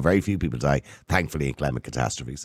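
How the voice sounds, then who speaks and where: Against a very clean recording with a silent background, a man with an Irish accent and vocal fry talks very fast with lively intonation. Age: 50s. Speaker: podcast host. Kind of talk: interview.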